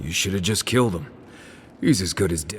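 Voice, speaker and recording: Putting on a character voice, a man growls in a raspy, very deep, low register at a fairly quick pace, over clear background noise. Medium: video game. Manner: dry, sarcastic.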